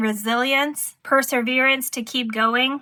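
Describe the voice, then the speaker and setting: A woman projects a raised, high-pitched voice with a bright, sharp tone. Her delivery is fairly slow and monotone, with flat intonation. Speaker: tarot reader. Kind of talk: tarot reading.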